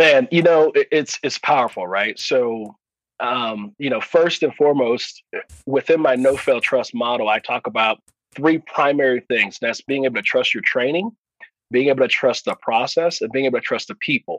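In an American accent, a man with a normal speaking voice and fairly high pitch talks at a moderate pace in a dry, close sound with no echo. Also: ordinary pitch variation. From US West Coast, Oakland, California. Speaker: leadership speaker and air force veteran. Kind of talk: interview conversation.

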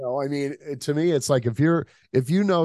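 A man's voice comes at a moderate pace, set against a quiet background. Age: 50s. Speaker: film director. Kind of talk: casual chat.

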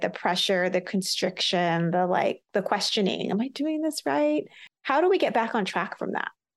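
A woman speaks at a moderate pace in an unremarkable speaking voice, medium in pitch, with lively intonation. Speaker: podcast host and entrepreneur. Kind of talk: interview conversation.

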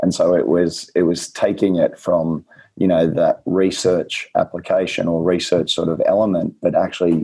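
A man with an Australian accent, speaking at a moderate pace. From rural New South Wales, Australia. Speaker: nutritionist. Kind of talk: casual interview chat. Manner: informative, clear explainer.

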